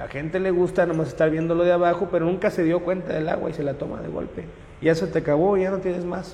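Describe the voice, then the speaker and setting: A man's high-pitched, monotone voice at a very fast pace, with flat intonation and audible room echo. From Mexico, Monterrey area (Nuevo León). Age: 20s. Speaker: local election candidate. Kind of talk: interview. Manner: halting, with frequent repetitions.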